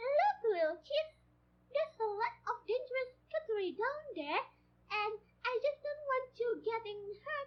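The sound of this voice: A female-sounding voice in a put-on character voice, pitched extremely high. The pace is moderate.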